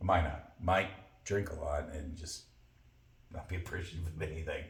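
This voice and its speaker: With audible room echo, a man speaks at a moderate pace at a very deep, low pitch, somewhat breathy and with monotone, flat intonation. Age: 60s. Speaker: podcast co-host. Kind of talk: casual chat.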